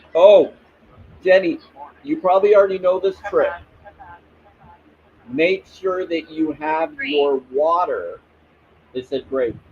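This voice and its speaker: A man's high-pitched, very slow speech with lively intonation, long and frequent pauses, and noticeable background noise. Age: 40s. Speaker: spiritual livestreamer. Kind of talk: casual livestream chat. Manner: relaxing.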